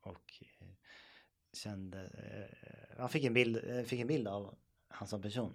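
Moving at a very slow pace, a man speaks with ordinary pitch variation and long, frequent pauses. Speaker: podcast co-host. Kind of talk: casual chat.

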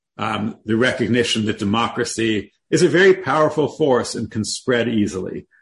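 Somewhat breathy and at medium pitch, a man speaks at a moderate pace with lively intonation. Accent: Canadian. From Canada, Toronto. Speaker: history professor and author. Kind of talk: interview.

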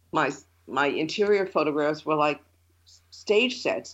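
A woman at a moderate pace, with vocal fry. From New York (Long Island and city). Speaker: photographer and former art teacher. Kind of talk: interview.

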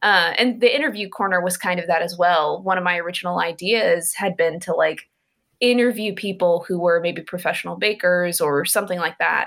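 A woman talks at a fairly quick pace in an ordinary speaking voice. Her pitch is fairly low, with ordinary variation. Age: 30s. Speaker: graphic novelist. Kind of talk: interview.

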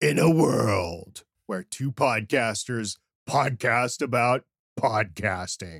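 A man's put-on character voice, raspy, at medium pitch and a very slow pace, on a very clean recording with a silent background. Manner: dramatic.

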